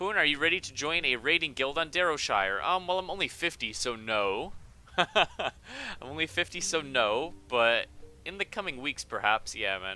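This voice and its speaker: A man with a bright, sharp tone speaks at a fairly high pitch and a moderate pace. His voice shows vocal fry and very wide pitch swings. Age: 20s. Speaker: gaming livestreamer. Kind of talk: live gameplay stream chat. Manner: casual, hesitant with many ums.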